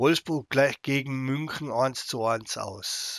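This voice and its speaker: Ordinary pitch variation in a dry, close sound with no echo, on a very clean recording with a silent background. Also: man. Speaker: gaming YouTuber. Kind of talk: live game commentary. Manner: less enthusiastic than usual.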